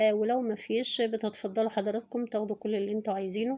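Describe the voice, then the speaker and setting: The woman's voice has a dark, mellow tone and a fairly high pitch. Her intonation is monotone and flat. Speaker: poultry price vlogger. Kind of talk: price update vlog. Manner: hesitant fillers.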